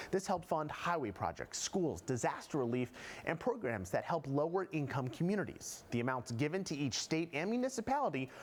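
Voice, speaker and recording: Very wide pitch swings and vocal fry at a moderate pace, with very even loudness throughout. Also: man. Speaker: TV news reporter. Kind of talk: TV news feature report.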